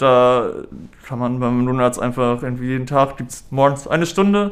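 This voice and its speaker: A man's medium-pitched voice at a moderate pace. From northern Germany, Hamburg. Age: 30s. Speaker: patient, student. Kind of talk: interview. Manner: halting, many fillers.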